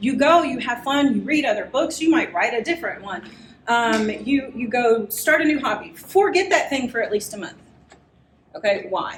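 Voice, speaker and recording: Over noticeable background noise and audible room echo, a woman speaks at a moderate pace, high-pitched and animated. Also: lively intonation. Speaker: writing workshop presenter. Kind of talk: live workshop lecture.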